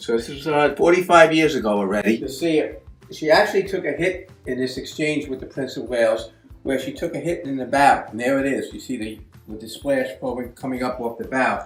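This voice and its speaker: A man's fairly high, lively voice at a fairly quick clip, with big swings in loudness and music in the background. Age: 60s. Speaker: hobbyist model builder. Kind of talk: show-and-tell narration. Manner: casual with fillers.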